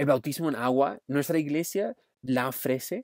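Delivery is fairly slow. The recording is very clean with a silent background. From Australia. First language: English (speaking Spanish). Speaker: youth pastor. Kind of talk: sermon.

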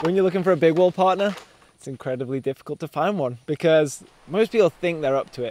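A man talks at a fairly quick pace. The sound is dry with no echo. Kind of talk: interview answer. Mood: cheerful, laughing. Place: forest. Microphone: lapel.

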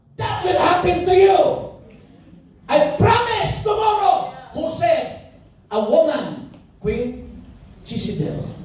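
At a very slow pace, a man's extremely high voice makes very wide pitch swings amid strong room echo. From Philippines. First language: Tagalog. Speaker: pastor. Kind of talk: sermon with Taglish code-switching and congregation call-and-response. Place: church.

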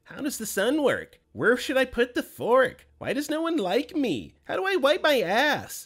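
A put-on character voice speaks high at a moderate pace. There are hardly any pauses. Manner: mocking.

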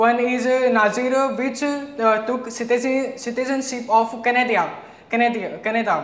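A man talks at a fairly slow pace with audible echo in the room. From India. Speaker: SSB aspirant. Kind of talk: lecturette speech. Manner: halting. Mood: nervous but formal. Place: classroom.

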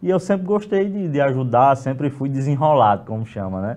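His tone sounds dark and mellow. This man keeps to a moderate speed. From Rio Grande do Norte, Brazil. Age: 20s. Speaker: city councillor. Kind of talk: interview. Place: studio. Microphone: lapel.

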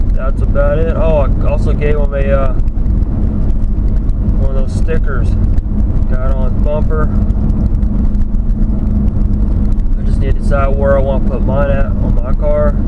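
Long, frequent pauses break up the speech amid loud background noise. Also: moderate pace. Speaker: driver vlogger. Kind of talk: casual vlog chat. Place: car. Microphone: camera far.

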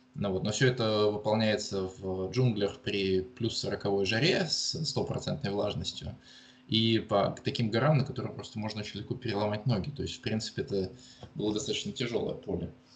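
Noticeable background noise behind a man with a fairly low pitch at a moderate pace. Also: ordinary pitch variation. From Russia, Murmansk region. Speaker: geologist and university lecturer. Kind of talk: interview. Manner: halting, many fillers.

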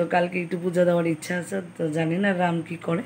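A woman talks at a fairly low pitch. Light background noise sits behind her. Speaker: home vlogger. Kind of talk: casual vlog chat. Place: home room. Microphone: phone near.

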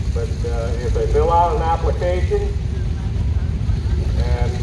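Loud background noise runs under speech at a fairly slow pace. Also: man. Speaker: event announcer. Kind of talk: public announcement and interview. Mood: friendly, casual. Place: open country.

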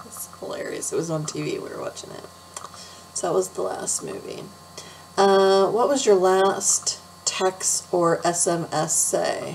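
There is light background noise as a woman speaks at a very slow pace. Her loudness swings widely. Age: 40s. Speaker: beauty vlogger. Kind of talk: casual chat. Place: home room. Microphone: webcam.

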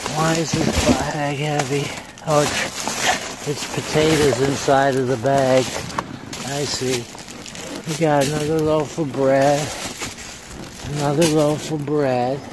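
The speech comes at a very slow pace with long, frequent pauses, dry with no echo but with noticeable background noise. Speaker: dumpster diving vlogger. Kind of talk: casual vlog chat. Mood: amused, upbeat. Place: street. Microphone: phone near.

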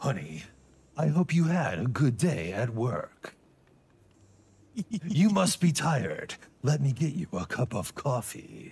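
Using a put-on character voice, a man talks at a fairly slow pace with a fairly high pitch and long, frequent pauses. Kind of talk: tender words in an action-movie delivery. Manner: dramatic but saying sweet things.

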